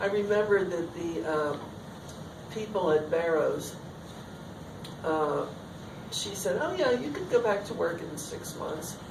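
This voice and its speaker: A woman talks at a fairly slow pace with ordinary pitch variation, over noticeable background noise and audible room echo. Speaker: artist and teacher. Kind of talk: artist talk Q&A. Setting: talk with audience. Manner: loud and clear.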